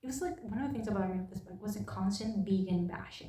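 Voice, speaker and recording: With a non-native accent, a woman speaks at a moderate pace amid audible room echo. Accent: non-native English, noticeable. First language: not English. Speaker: book reviewer. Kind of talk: casual chat. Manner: halting.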